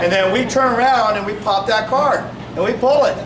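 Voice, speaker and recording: A man's extremely high voice at a moderate pace, ordinary pitch variation, with audible room echo and noticeable background noise. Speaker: police officer. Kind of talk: community meeting talk.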